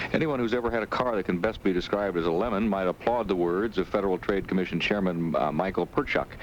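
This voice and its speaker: A man with a fairly low pitch talks at a very fast pace with hardly any pauses, ordinary pitch variation and very even loudness. Noticeable background noise is present. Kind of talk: radio news anchor reading network newscast. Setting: vintage 1970s radio broadcast.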